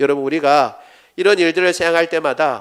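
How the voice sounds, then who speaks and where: At a fairly quick pace, a man speaks in a fairly high pitch, captured in a very clean recording with a silent background. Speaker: pastor. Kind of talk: sermon.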